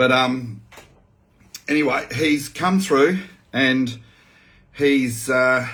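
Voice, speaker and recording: This man has an Australian accent and a medium pitch. His pitch varies in an ordinary way. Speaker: farmer and activist. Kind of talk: video update, reading out a witness statement. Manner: casual, hesitant with many fillers.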